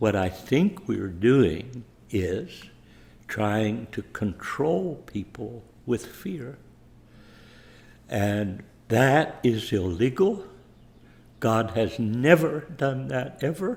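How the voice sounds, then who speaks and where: A man's somewhat breathy, medium-pitched voice at a very slow pace, with very wide pitch swings and long, frequent pauses. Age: 80s+. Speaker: preacher. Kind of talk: sermon.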